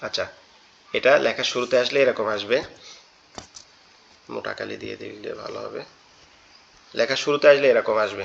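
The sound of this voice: A man puts on a hoarse character voice. He delivers it at a moderate pace.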